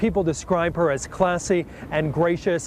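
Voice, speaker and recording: Man with a high pitch at a moderate pace, against noticeable background noise. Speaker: local TV news reporter.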